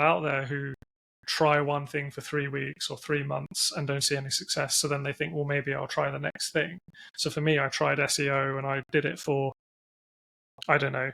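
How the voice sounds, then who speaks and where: A man with an English accent, fairly high in pitch, bright and sharp in tone, monotone and flat in intonation, at a moderate pace, in a dry, close sound with no echo on a very clean recording with a silent background. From England. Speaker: internet business founder and CEO. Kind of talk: interview. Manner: hesitant, many fillers.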